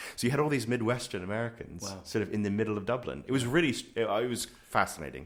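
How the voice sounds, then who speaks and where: Vocal fry runs through a man's medium-pitched voice. He speaks at a very fast pace with ordinary pitch variation. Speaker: podcast host. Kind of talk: casual interview conversation. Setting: studio.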